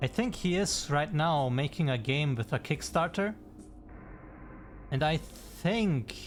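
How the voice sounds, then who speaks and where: A man with a non-native accent speaks very slowly at a fairly high pitch, somewhat breathy, with lively intonation, very even loudness, and long, frequent pauses. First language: not English. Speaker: game developer streamer. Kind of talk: live stream chat. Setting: live stream. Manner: casual, halting.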